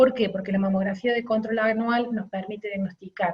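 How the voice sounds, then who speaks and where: The voice belongs to a woman and is somewhat breathy. Her intonation stays fairly even. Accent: Córdoba. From Argentina, Córdoba. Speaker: radiologist. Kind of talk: lecture. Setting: webinar.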